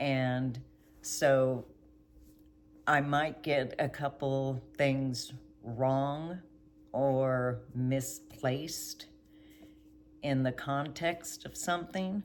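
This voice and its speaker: A woman's very deep, low voice at a very slow pace, with fairly even intonation and long, frequent pauses. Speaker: vlogger. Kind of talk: casual monologue. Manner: halting, with pauses to recall words.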